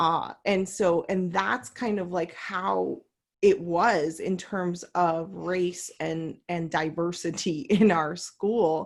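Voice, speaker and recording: Someone with an American accent speaks at a very slow pace with ordinary pitch variation. The recording is very clean, with a silent background. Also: woman. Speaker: coach, panel host. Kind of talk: panel discussion. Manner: casual, many fillers.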